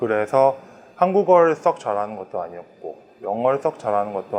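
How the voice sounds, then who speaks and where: A man talks with very wide pitch swings. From Thailand (Bangkok), Korean family. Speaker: Korean grocery store owner. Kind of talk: interview testimony.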